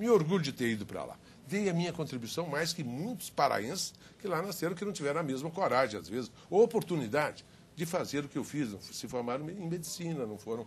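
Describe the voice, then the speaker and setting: Speaking in an unremarkable speaking voice, a man talks at a fairly quick pace with a fairly high pitch. His intonation is lively, and his loudness swings widely. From Minas Gerais, Brazil. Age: 60s. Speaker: politician. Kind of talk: televised debate.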